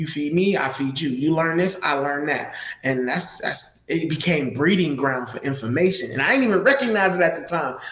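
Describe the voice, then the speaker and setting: A man speaks with lively intonation at a moderate pace, with hardly any pauses. Noticeable background noise and audible room echo are present. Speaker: community mentor and church musician. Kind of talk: live interview. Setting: live video stream.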